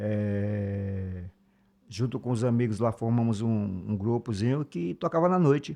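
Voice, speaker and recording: Speaking at a fairly slow pace, the voice has a dark, mellow tone over a quiet background. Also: man. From Brazil, Alagoas (Northeast). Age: 50s. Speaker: musician and songwriter. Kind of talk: interview conversation.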